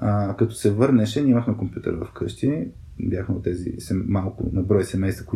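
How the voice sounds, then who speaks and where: In an unremarkable speaking voice, a man talks at a moderate pace with fairly low pitch and ordinary pitch variation. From Bulgaria, Burgas. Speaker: podcast co-host. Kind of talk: casual chat.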